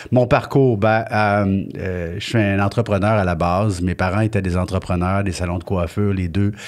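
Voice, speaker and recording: Here a man uses a normal speaking voice, fairly low in pitch with fairly even intonation. He keeps a moderate pace and hardly pauses at all. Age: 60s. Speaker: business owner. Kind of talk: interview. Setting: filmed studio interview.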